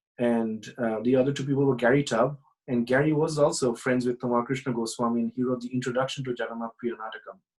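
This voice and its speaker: Speaking with a Bengali accent, a man talks at a very fast pace with hardly any pauses. His medium-pitched voice is monotone, with flat intonation. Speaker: professor. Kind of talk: casual interview. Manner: halting, many fillers.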